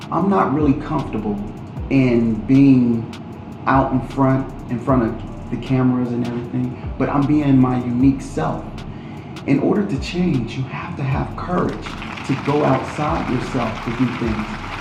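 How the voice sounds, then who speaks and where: A man speaks fairly slowly at medium pitch with ordinary pitch variation. Audible room echo and music in the background surround him. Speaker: political candidate. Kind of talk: interview.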